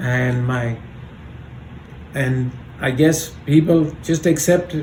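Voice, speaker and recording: Over noticeable background noise and audible room echo, a man talks very slowly with long, frequent pauses and ordinary pitch variation. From Kenya and India (Mombasa, schooling in India). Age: 70s. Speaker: grandfather, oral history interviewee. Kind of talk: oral history interview. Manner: halting.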